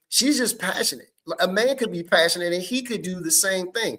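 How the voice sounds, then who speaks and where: A loud, animated man at a fairly quick pace, with lively intonation. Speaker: podcast host. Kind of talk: casual chat.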